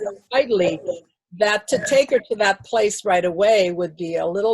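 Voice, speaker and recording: Speaking at a moderate pace with an American accent, a woman sounds somewhat breathy in a dry, close recording with no echo. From Hawaii. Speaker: acupuncturist and holistic therapist. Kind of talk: interview answer.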